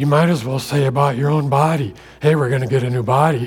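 A somewhat breathy man's voice at a medium pitch with an American accent. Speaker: guest preacher. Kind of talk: sermon. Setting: church with congregation.

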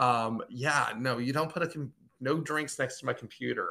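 A man's bright, sharp voice moves at a moderate pace with ordinary pitch variation. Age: 40s. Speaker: comic book creator. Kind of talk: casual interview.

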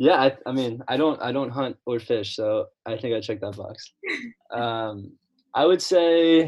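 Speaking at a fairly slow pace, a man has an unremarkable speaking voice of medium pitch with ordinary pitch variation. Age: 20s. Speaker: college student. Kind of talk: casual chat. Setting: video call.

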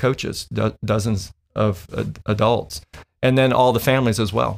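Over a very clean recording with a silent background, a man with an unremarkable speaking voice and an American accent talks fairly quickly at a medium pitch. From Illinois. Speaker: volleyball club director. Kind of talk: interview.

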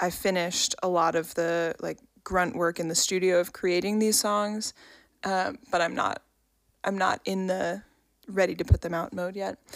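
A woman with an American accent speaks at a moderate pace and medium pitch. Hers is an unremarkable speaking voice with fairly even intonation. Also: very clean recording, silent background. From New York. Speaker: podcast co-host and musician. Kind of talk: casual chat.

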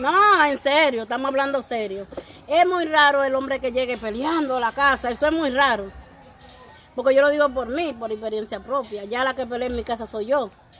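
High pitch from a woman, moderate in pace and ordinary in pitch variation. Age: 50s. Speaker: radio show guest, married woman. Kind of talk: casual chat. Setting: outdoors on the street.

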